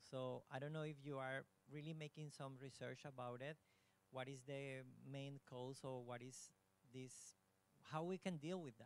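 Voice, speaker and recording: A man with a Spanish accent at a moderate pace, fairly even intonation, long and frequent pauses and a dry sound with no echo. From Colombia, Bogota; Colombia. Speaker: audience member. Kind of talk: audience question. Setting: university hall with audience. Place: hall.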